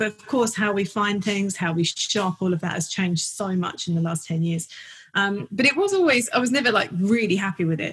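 A woman with a North London accent at a fairly quick pace, music playing in the background. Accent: North London accent, noticeable. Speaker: portrait photographer. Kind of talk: casual interview chat. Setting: home studio, recorded remotely.

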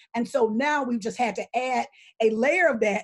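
A woman speaks with an Alabama accent. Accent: Southern US (Alabama). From US South, Selma, Alabama. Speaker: political organizer. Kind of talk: panel discussion. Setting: video call.

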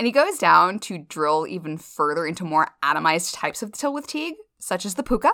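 Very wide pitch swings and a bright, sharp tone come through in a very clean recording with a silent background. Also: woman. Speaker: podcast host. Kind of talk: casual chat. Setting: in person, sharing one mic.

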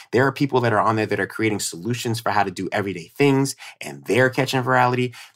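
A man of medium pitch speaks with a strong New York accent. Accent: New York accent, came out strongly. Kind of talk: casual chat. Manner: animated.

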